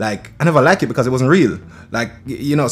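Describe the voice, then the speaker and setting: The speaker is a man with a Jamaican accent. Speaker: reggae and dancehall singer. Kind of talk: casual chat.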